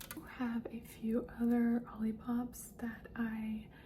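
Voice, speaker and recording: A soft-spoken woman talks with a fairly high pitch. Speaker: ASMR content creator. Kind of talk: soft-spoken ASMR talk to camera. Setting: close-mic recording with tapping sounds. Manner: soft-spoken, slow, repetitive.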